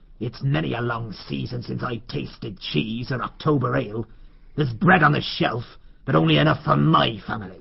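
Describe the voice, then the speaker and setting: A man's put-on character voice, gruff and medium-pitched, with very wide pitch swings at a moderate pace. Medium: audio drama.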